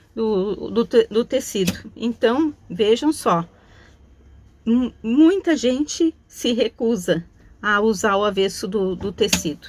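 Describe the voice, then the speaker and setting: A woman with a fairly high pitch talks at a very slow pace, her intonation lively. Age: 60s. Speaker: craft teacher. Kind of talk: tutorial. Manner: casual, chatty.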